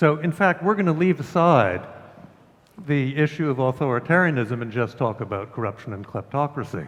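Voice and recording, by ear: A man talks at a moderate pace. His pitch is medium, with ordinary pitch variation.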